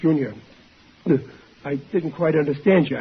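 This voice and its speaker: The speaker puts on a raspy character voice. The pace is moderate. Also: man, fairly high pitch for a man. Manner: muffled, chewing.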